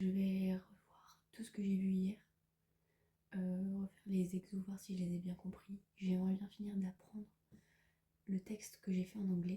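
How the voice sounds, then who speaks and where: At a fairly slow pace, a woman speaks in a medium pitch, somewhat breathy, with a dark, mellow tone and monotone, flat intonation. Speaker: student vlogger. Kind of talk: vlog narration. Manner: casual, hesitant fillers.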